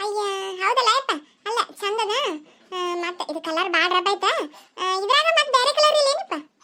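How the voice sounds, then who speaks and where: A squeaky, cartoonish character voice at a fairly quick pace. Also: woman, extremely high pitch for a woman. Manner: loud, exclamatory, rustic.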